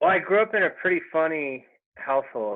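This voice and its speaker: With an American accent, a man talks at a fairly high pitch and with lively intonation. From East Texas (Longview). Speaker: digital marketer and stand-up comedian. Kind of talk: podcast interview. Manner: casual, many fillers.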